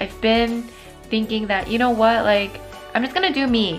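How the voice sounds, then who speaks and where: Faint music plays in the background as a woman speaks at a fairly quick pace with ordinary pitch variation. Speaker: vlogger. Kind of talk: casual vlog chat. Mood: upbeat, reflective. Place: home room. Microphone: phone near.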